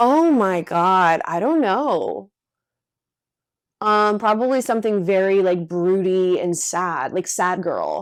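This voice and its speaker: Over a silent background on a very clean recording, a woman speaks very slowly with lively intonation. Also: medium pitch for a woman. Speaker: podcast co-host. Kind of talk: casual chat.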